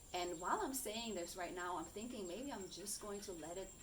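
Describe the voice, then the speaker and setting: Audible room echo and noticeable background noise accompany a woman's voice. She speaks at a medium pitch with ordinary pitch variation. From Germany. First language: German. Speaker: coach and content creator. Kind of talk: personal vlog monologue. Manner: halting, searching for words.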